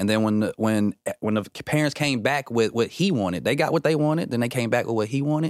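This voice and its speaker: On a very clean recording with a silent background and a dry, close sound with no echo, a man speaks fairly quickly in an unremarkable speaking voice at a medium pitch with ordinary pitch variation. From Atlanta, US South; moved to Minnesota at 14. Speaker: comedian and actor. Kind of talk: casual interview chat.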